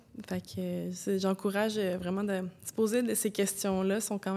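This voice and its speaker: Her tone dark and mellow, a woman speaks at a medium pitch with monotone, flat intonation. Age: 20s. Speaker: former athlete. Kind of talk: testimony.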